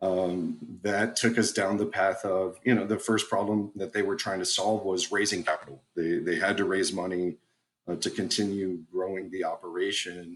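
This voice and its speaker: Here a man speaks with an American accent at a moderate pace. His very deep, low voice keeps fairly even intonation. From South Texas. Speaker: company executive. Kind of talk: interview. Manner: frequent repetitions and fillers.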